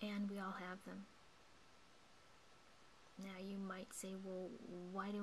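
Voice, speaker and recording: A woman whispering, soft-spoken, at a fairly slow pace. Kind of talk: guided meditation talk. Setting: indoors at night, home recording. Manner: whispered, soft-spoken.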